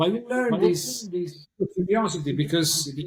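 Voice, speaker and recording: A high-pitched man with an Italian accent, over noticeable background noise. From Italy, Naples area. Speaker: pianist. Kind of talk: interview. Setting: remote call. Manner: halting, repetitive. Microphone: poor sound quality.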